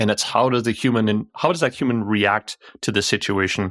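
An unremarkable speaking voice with a Canadian accent moves at a fairly quick pace, the sound dry and close with no echo. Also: man. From Canada. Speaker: cybersecurity expert. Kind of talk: podcast interview.

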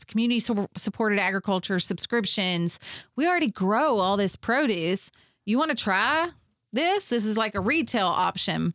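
With a Kentucky accent, a medium-pitched woman speaks at a moderate pace in an animated tone, her intonation lively and her loudness very even. The sound is dry and close with no echo, on a very clean recording with a silent background. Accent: Southern US (Kentucky). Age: 40s. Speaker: farm venue owner and women's conference organizer, former teacher. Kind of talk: interview conversation.

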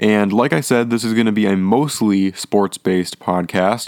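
A man speaks in a plain, everyday voice at a fairly low pitch. The recording is very clean and dry, close with no echo and a silent background. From Minnesota. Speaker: student sports podcaster. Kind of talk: solo sports podcast monologue. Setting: at home. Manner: casual with frequent fillers and repetitions.

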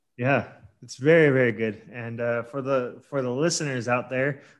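A man in a plain, everyday voice, moderate pace, ordinary pitch variation, quiet background. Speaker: podcast host. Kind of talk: casual interview. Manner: casual, friendly.

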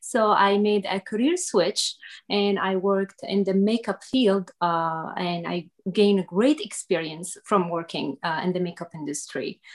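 In a very clean recording with a silent background, a woman with an Arabic accent speaks at a fairly slow pace with ordinary pitch variation. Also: medium pitch for a woman. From Syria. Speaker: makeup artist and business owner. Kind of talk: interview. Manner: halting.

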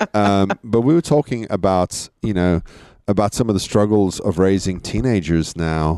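In a dry, close sound with no echo, a man speaks at a moderate pace in a fairly low, dark, mellow voice with ordinary pitch variation and very even loudness. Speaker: parent. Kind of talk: casual chat. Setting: backyard, outdoors.

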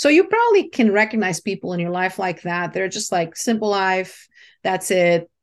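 At a moderate pace, a woman with a Portuguese accent speaks at a medium pitch with ordinary variation against a quiet background. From Brazil. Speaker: branding strategist and mentor. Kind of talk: interview.

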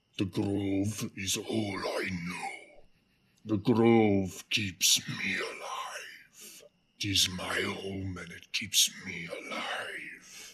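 A man puts on a character voice that is guttural and growling, pitched fairly low. He speaks at a very slow pace. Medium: actual play. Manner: speaks through teeth, menacing.

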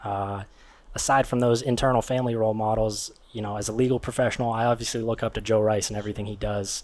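A man with an American accent talks very fast in a flat, monotone delivery. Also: medium pitch for a man. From Pittsburgh, Pennsylvania. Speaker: attorney. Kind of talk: interview. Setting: live recording at a venue.

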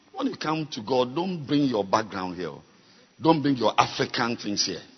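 With noticeable background noise behind him, a man speaks in a fairly high pitch with lively intonation. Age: 50s. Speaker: bishop preacher. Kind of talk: sermon. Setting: church. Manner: animated.

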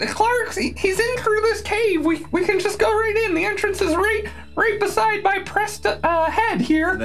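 Over clear background music, a put-on character voice at an extremely high pitch goes at a fairly slow pace. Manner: pleading, eager to talk.

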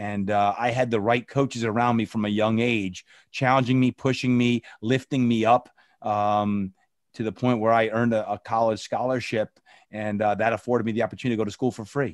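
A man with an American accent, medium pitch and a fairly quick pace, in a dry, close sound with no echo. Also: very clean recording, silent background. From New Jersey. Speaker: personal trainer and motivational speaker. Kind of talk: interview. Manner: animated.

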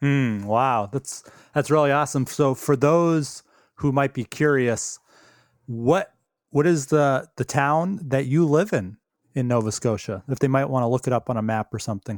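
A man with a plain, everyday voice talks at a moderate pace and ordinary pitch variation, recorded very cleanly with a silent background. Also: medium pitch for a man. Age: 40s. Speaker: podcast host. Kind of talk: casual interview.

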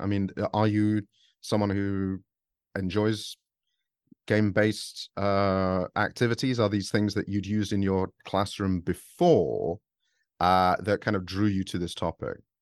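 A man with a British accent speaks at a fairly slow pace in a fairly low voice. The sound is dry and close, with no echo. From England.

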